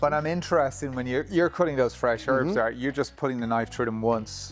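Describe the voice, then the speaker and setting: Music sits in the background as a man speaks at a very fast pace. His pitch is medium, with ordinary variation. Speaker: cookery school host. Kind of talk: casual interviewer talk.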